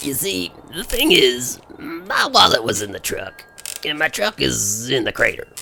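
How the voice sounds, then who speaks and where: The speaker is a man doing a put-on character voice. He talks at a moderate speed. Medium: audio drama. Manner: folksy, polite.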